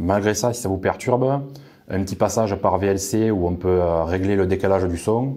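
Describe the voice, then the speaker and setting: With a southern French accent, a man is speaking. His tone is dark and mellow. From southern France. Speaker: tech reviewer. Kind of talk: product review. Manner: frequent hesitations (euh).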